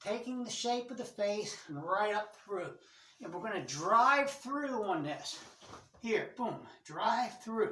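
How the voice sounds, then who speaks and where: In a room with audible echo, a woman with a fairly high pitch speaks very slowly, her intonation lively. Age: 60s. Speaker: martial arts instructor. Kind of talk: tutorial. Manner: casual, repetitive instructional pacing.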